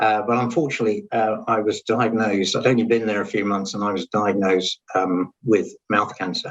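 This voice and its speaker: Speaking with an English accent, a man talks at a fairly quick pace and a fairly low pitch, with fairly even intonation and hardly any pauses. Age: 60s. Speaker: cancer survivor, dental industry consultant. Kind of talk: interview testimony. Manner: hesitant, many fillers.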